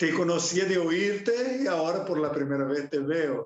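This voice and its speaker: A man speaks in a Brazilian accent at a fairly slow pace. His pitch is fairly high. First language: Portuguese (speaking Spanish). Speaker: pastor and missionary teacher. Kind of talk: lecture introduction. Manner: halting.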